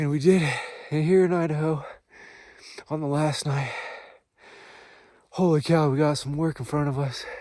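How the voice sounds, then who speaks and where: A man's fairly high voice in a monotone, flat intonation at a moderate pace, with long, frequent pauses and audible room echo. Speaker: hunter. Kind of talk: field video diary. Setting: outdoors. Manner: loud.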